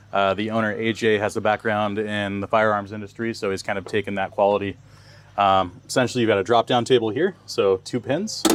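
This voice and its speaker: Fairly quick in pace and monotone with flat intonation, the voice comes through noticeable background noise. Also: man, fairly low pitch for a man. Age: young. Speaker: vehicle outfitter showing a camper build. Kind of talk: product walkthrough. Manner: casual, many fillers.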